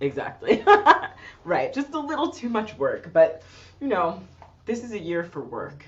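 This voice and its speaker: Her pitch fairly high and marked by vocal fry, a woman speaks at a moderate pace with very wide pitch swings, big swings in loudness, and long, frequent pauses. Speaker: singer-songwriter. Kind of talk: casual interview conversation. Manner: casual, thinking aloud.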